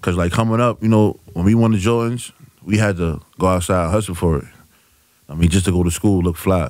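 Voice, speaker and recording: Against a quiet background, a man with a very deep, low voice speaks at a fairly quick pace with ordinary pitch variation in a dry sound with no echo. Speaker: guest. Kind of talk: interview answer. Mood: relaxed, proud. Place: studio. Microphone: studio mic.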